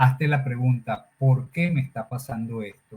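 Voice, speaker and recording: A man's somewhat breathy voice carries a dark, mellow tone and fairly even intonation. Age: 60s. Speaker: personal development speaker. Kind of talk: interview conversation.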